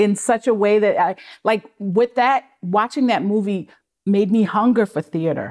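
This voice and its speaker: A woman with an American accent and a normal speaking voice talks at a medium pitch and a fairly slow pace, with ordinary pitch variation and very even loudness. The recording is very clean, with a silent background and a dry, close sound with no echo. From Brooklyn, New York. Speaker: filmmaker. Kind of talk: casual chat.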